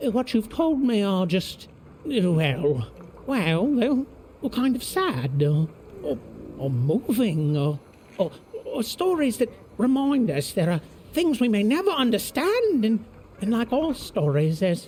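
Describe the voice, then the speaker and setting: Using a put-on character voice with a fairly high pitch and very wide pitch swings, the speaker goes at a fairly slow pace against clear background noise. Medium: video game. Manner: excitable, laughs often, stammers.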